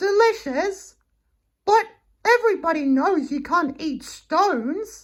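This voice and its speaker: A man's squeaky put-on character voice at extremely high pitch and a fairly slow pace, in a very clean recording with a silent background. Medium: read story. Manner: earnest, eager.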